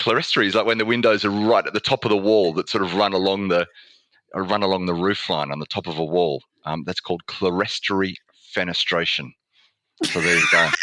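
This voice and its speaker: The voice has a bright, sharp tone and an Australian accent, moving at a very fast pace with ordinary pitch variation. The sound is dry and close, with no echo. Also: man, very deep, low pitch for a man. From Australia (Melbourne). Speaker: communications lead at an engineering firm. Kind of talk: interview conversation.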